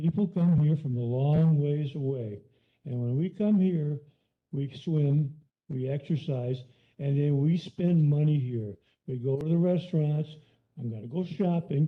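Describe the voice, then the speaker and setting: A man with an American accent, somewhat breathy, at a fairly slow pace, with ordinary pitch variation and long, frequent pauses. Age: 70s. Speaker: member of the public speaking at a county meeting. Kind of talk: public comment. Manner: halting.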